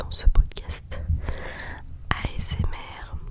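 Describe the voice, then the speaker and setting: Noticeable background noise accompanies a woman whispering. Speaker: yoga teacher. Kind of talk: ASMR whispered podcast. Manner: whispered, soft.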